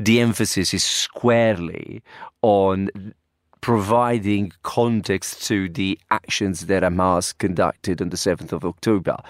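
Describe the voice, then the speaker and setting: A man with an Italian accent speaks at a fairly slow pace with fairly even intonation, in a very clean recording with a silent background and a dry, close sound with no echo. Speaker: university professor. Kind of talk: panel discussion. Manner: halting, hesitant.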